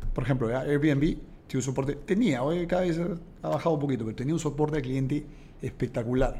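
A man's fairly high voice, dark and mellow in tone, with fairly even intonation at a fairly quick pace. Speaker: entrepreneur. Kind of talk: interview.

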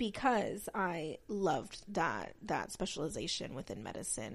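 A woman with an American accent speaks at a medium pitch, with lively intonation. The recording is very clean, with a silent background. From Texas. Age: 20s. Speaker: podcast host. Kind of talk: solo podcast introduction, casual talk. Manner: talkative, rambling with tangents.

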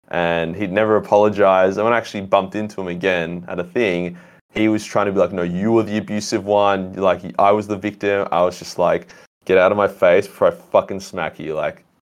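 A man with an Australian accent speaks at a fairly quick pace. His voice is fairly low, with monotone, flat intonation. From Australia, Melbourne. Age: young. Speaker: YouTube content creator. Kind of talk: casual chat.

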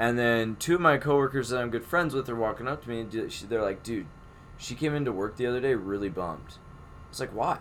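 With a normal speaking voice, a man talks at a fairly quick pace, medium in pitch and with ordinary pitch variation. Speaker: podcast host. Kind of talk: casual chat.

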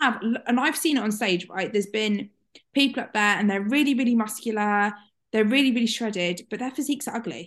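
A woman with a British accent, fairly high in pitch and fairly quick in pace, over a quiet background. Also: ordinary pitch variation. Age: 20s. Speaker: podcast host. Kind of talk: casual chat.

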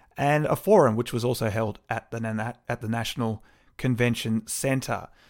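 On a very clean recording with a silent background, a man speaks with an Australian accent. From Melbourne, Australia. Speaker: local councillor and podcast host. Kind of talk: solo podcast monologue. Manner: casual, with frequent fillers.

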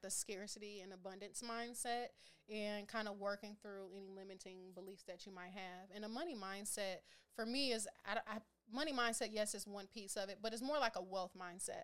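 It is an unremarkable speaking voice, in an American accent. The pace is moderate and the pitch varies in an ordinary way. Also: woman. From Minneapolis, Minnesota, US Midwest. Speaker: financial educator. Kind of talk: casual interview.

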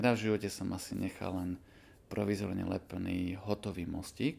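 Fairly low in pitch, a man speaks with a dark, mellow tone. He moves at a fairly quick pace. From eastern Slovakia, Košice. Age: 40s. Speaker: dentist. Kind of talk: interview.

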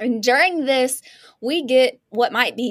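With a high pitch and an animated tone, a woman speaks at a fairly slow pace with lively intonation on a very clean recording with a silent background. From small town. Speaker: podcast host. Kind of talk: casual chat.

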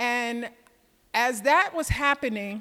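With an American accent and a bright, sharp tone, a woman speaks at a fairly slow pace in a high voice with ordinary pitch variation. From US South (Georgia). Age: 60s. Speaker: sales trainer, retired tech saleswoman. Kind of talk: lecture. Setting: stage with audience.

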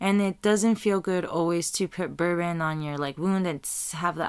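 A woman with an American accent has an ordinary speaking voice, fairly low in pitch with ordinary pitch variation. She speaks at a moderate pace on a very clean recording with a silent background. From Tijuana and Chula Vista, US-Mexico border. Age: 20s. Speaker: podcast host. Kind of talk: solo reflective monologue. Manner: casual, with frequent fillers and repetitions.

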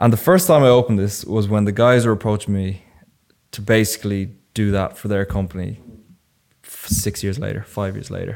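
A man with an Irish accent, fairly low pitch, ordinary pitch variation, a fairly quick pace and big swings in loudness. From Ireland, Enniskillen and Wicklow. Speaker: videographer. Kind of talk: casual chat.

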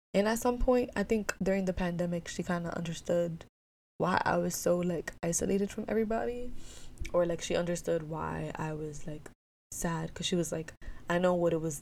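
A woman talks in an American accent at a fairly quick pace. Her voice is fairly low, with ordinary pitch variation. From New York City, Dominican family. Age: 20s. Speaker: podcast host. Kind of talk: casual monologue. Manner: halting, many ums and pauses.

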